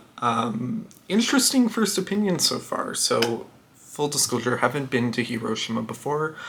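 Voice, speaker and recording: Someone with a Canadian accent speaks at a moderate pace over noticeable background noise. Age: 20s. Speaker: travel vlogger. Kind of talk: casual talk to camera.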